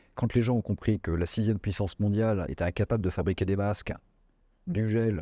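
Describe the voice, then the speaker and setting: A man with a very deep, low voice and a dark, mellow tone speaks at a moderate pace with fairly even intonation. The sound is dry and close with no echo, on a very clean recording with a silent background. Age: 60s. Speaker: business executive. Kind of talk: interview. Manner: hesitant, many fillers.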